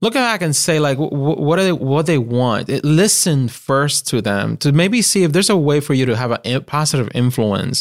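On a very clean recording with a silent background, a man speaks in a Puerto Rican accent with lively intonation. His pace is moderate, his loudness very even, and he takes hardly any pauses. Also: fairly high pitch for a man. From Puerto Rico. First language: Spanish. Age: young. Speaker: marketing agency principal. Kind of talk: interview.

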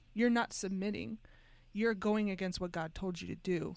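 Fairly quick and with fairly even intonation, this voice comes through in a very clean recording with a silent background. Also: woman. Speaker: co-host. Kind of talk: casual chat. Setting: studio.

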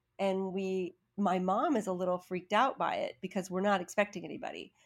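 Recorded very cleanly against a silent background, a woman with an American accent and a normal speaking voice talks at a medium pitch and a moderate pace. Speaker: acting coach. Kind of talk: storytelling.

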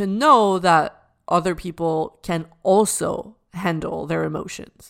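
Her pitch varies in an ordinary way. The recording is very clean, and the background is silent. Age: 30s. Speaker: life coach and podcast host. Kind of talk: solo podcast monologue.

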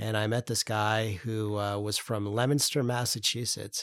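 A man speaks at a medium pitch in a flat monotone, on a very clean recording with a silent background. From upstate New York. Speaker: political campaign strategist. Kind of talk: interview.

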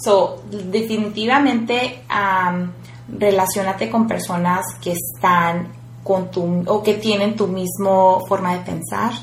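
Lively intonation amid noticeable background noise and audible room echo. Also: woman. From rural Mexico. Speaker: entrepreneur and activist. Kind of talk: interview. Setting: office.

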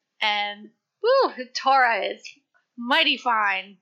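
The pace is very slow. The tone is bright and sharp. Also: woman. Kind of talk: casual chat.

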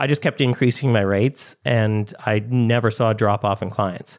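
Recorded very cleanly against a silent background, a man uses a normal speaking voice at medium pitch with ordinary pitch variation. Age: 40s. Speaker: designer, software maker and author. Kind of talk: interview conversation.

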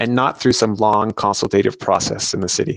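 A man speaks at a fairly quick pace and a medium pitch. He has a normal speaking voice with ordinary pitch variation. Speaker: city council candidate, consultant. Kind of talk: campaign pitch.

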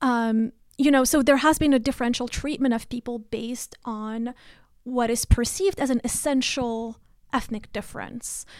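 A high-pitched woman speaks at a moderate pace with fairly even intonation. The recording is very clean, with a silent background. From Morocco, Rabat. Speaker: professor. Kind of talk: academic interview.

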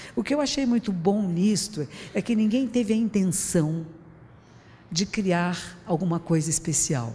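Medium-pitched, somewhat breathy speech from a woman at a fairly slow pace, with lively intonation and very even loudness. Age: 60s. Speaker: Buddhist teacher giving public talk. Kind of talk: public talk. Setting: stage with audience. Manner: conversational.

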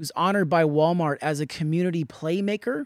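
A man with an unremarkable speaking voice, ordinary pitch variation, and a dry, close sound with no echo. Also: very clean recording, silent background. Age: 30s. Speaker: podcast host and artist. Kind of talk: interview conversation; scripted intro.

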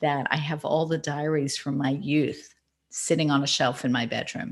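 An American accent comes through as a woman speaks at a moderate pace. Her voice is very deep and low. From Australia. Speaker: author and marketing consultant. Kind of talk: interview. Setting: remote call.

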